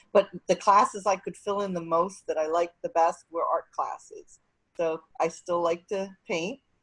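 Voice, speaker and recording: In a normal speaking voice, a woman talks at a moderate pace and medium pitch with fairly even intonation. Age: 60s. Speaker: nonprofit executive director. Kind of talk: panel discussion.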